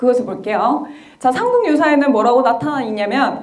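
A woman's high-pitched voice at a moderate pace. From South Korea. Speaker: history lecturer. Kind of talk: lecture. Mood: friendly, smiling. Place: hall. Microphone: handheld.

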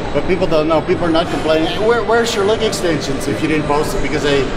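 Very fast speech with ordinary pitch variation over loud background noise. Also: man. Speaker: channel host. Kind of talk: casual vlog chat. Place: gym.

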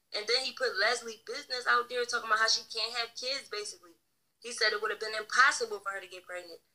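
At a fairly quick pace, a woman speaks in a fairly high pitch. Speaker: online streamer and book reader. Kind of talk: casual livestream rant. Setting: live stream. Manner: animated.

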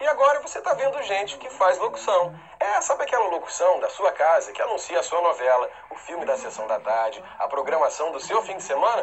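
Noticeable background noise fills the clip. Through it, a man talks at a fairly quick pace. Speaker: TV network announcer. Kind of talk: promo presentation. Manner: upbeat.

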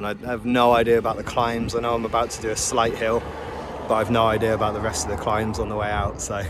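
A man at a very fast pace, dry sound with no echo, and noticeable background noise. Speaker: cyclist vlogger. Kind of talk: casual vlog chat. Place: open country. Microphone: phone near.

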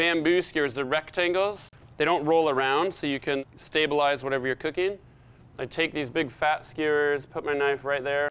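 At a moderate pace, a man speaks with fairly even intonation in a dry sound with no echo. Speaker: chef host. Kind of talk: tutorial. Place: kitchen. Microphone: lapel.

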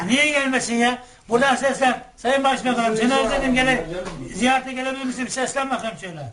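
Over noticeable background noise, a man with an extremely high pitch speaks at a fairly quick pace with fairly even intonation. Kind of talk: interviewer chatting with elderly woman.

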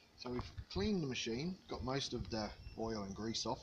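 Against light background noise, a man speaks at a moderate pace in a somewhat breathy voice. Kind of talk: tutorial. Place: garden. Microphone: phone near.

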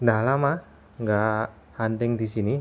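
A man speaks at a fairly low pitch with fairly even intonation. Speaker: railfan vlogger. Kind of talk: casual vlog narration. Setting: outdoors beside railway. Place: open country. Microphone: phone near.

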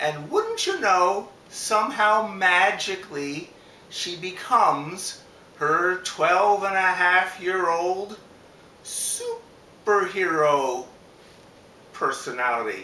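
Audible room echo carries a man's raised, projected voice with ordinary pitch variation. He speaks at a very slow pace. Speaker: book reader. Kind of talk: casual book introduction. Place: home room. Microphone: camera far.

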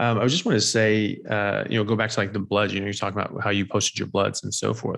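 Very fast, monotone speech with flat intonation, hardly any pauses, and a quiet background. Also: man, fairly low pitch for a man. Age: 40s. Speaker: doctor and health podcast host; health podcast host. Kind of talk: interview. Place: home room. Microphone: studio mic.

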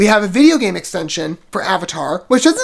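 The speaker goes at a very fast pace with lively intonation. The background is quiet. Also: man. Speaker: video reviewer. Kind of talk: casual commentary and trailer reaction. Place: home room. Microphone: earbuds.

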